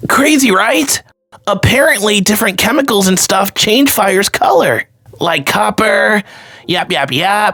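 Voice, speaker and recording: A raspy, fairly high put-on character voice moves along at a moderate pace. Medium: dub. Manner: upbeat, excited.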